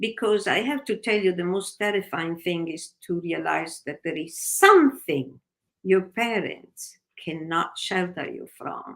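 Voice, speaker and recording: A woman with an Italian accent, lively intonation and a fairly slow pace. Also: medium pitch for a woman. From Italy, Naples. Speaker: novelist. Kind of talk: interview.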